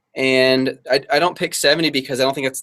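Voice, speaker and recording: At a fairly quick pace, a man with a medium pitch talks in an unremarkable speaking voice. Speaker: online reseller and entrepreneur. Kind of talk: casual interview chat.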